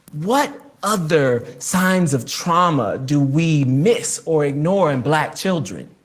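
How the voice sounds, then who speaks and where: The delivery is very slow, with lively intonation and very even loudness. Audible room echo surrounds the voice. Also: man, fairly high pitch for a man. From New Jersey, raised largely by a southern grandmother. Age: 30s. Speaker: author and activist. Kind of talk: reading aloud from own memoir.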